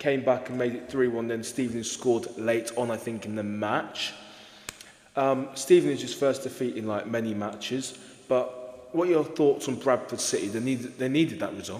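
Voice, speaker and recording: Over noticeable background noise and with audible room echo, a man talks at a moderate pace in a medium pitch with ordinary pitch variation. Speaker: football podcast host. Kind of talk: casual podcast discussion.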